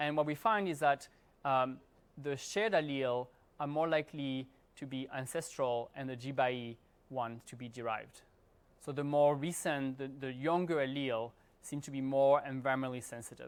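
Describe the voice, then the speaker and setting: In a very clean recording with a silent background, a man speaks at a fairly high pitch with fairly even intonation and big swings in loudness. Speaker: professor. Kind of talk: lecture. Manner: fast; halting.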